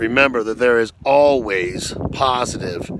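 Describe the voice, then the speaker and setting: Over noticeable background noise, a man speaks with fairly even intonation in a dry sound with no echo. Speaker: motivational vlogger. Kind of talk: motivational talk to camera. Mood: earnest, encouraging. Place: open country. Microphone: phone near.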